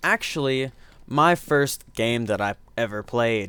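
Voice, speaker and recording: This man speaks in an American accent, and his intonation is lively. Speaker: gaming YouTuber. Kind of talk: let's play commentary. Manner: casual, talkative.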